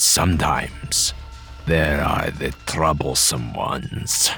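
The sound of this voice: In a put-on character voice, a man talks slowly at an extremely low pitch, his tone bright and sharp with vocal fry and ordinary pitch variation, as faint music plays in the background.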